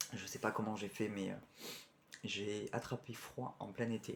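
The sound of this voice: Using a put-on character voice, a man sounds hoarse and fairly low-pitched, speaking in a monotone, flat intonation at a moderate pace.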